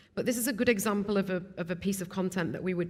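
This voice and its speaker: A woman at a very fast pace. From Stoke-on-Trent, English Midlands. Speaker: video production company founder. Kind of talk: casual interview. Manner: hesitant, many fillers and repeats.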